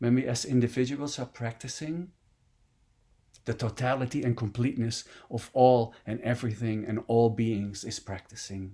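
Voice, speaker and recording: Speaking with a Dutch accent, a man has a dark, mellow tone, a moderate pace, and fairly even intonation. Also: medium pitch for a man. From Netherlands. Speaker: meditation teacher. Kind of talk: dharma talk.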